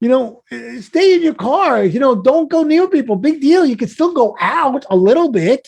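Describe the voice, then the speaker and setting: Speaking in a Brooklyn accent at a moderate pace, a man uses an animated tone with an extremely high pitch and very wide pitch swings. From US Northeast (Brooklyn, New York). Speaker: life coach, podcast guest. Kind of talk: casual interview storytelling.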